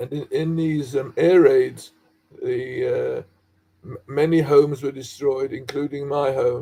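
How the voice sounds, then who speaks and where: A man with a London accent talks at a fairly slow pace. His loudness swings widely. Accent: British English, London. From London, England. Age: 80s+. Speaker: dye chemist, researcher. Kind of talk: interview, personal history. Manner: halting.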